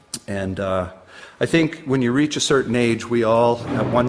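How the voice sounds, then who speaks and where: A man speaks at a moderate pace with a Canadian Maritime accent. Noticeable background noise sits behind him. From New Brunswick, Canada. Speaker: poet. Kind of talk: casual chat; poetry reading.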